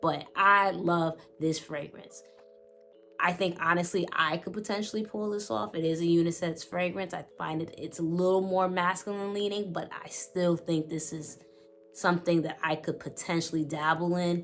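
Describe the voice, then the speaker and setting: A woman with a New York accent and a fairly low voice speaks at a moderate pace in an animated tone. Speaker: fragrance reviewer. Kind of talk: product review.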